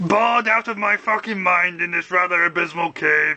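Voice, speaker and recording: Someone speaks in a put-on character voice. Music plays in the background. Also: man. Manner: grandiose, weary.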